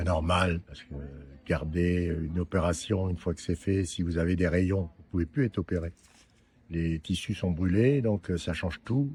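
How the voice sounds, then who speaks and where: At a moderate pace, a man with a very deep, low pitch sounds somewhat breathy, his pitch varying in an ordinary way. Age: 70s. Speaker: prostate cancer survivor. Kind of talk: interview testimony. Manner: hesitant, many fillers.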